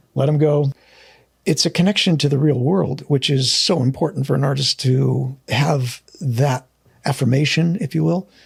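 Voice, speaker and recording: Somewhat breathy and fairly high in pitch, a man with an American accent speaks at a moderate pace with very even loudness and ordinary pitch variation. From United States. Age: 60s. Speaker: painter and art school founder. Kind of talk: casual chat. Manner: halting.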